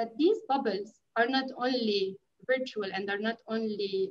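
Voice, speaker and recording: Against a quiet background, a woman talks at a moderate pace in a fairly high voice with ordinary pitch variation. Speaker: NGO media program specialist. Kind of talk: panel discussion. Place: home room. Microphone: video call.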